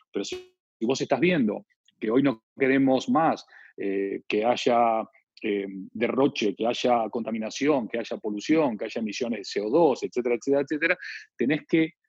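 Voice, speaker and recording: A man speaks at a medium pitch and a moderate pace in an Argentine accent. His pitch varies in an ordinary way, and the sound is dry and close with no echo. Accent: Argentine Spanish (voseo). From Argentina. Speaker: branding consultant and author. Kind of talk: interview.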